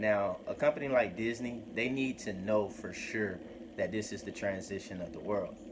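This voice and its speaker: Noticeable background noise and audible room echo surround a man speaking. His voice is fairly low, with ordinary pitch variation and a moderate pace. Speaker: crypto YouTuber. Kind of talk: casual vlog commentary. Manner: hesitant, many fillers.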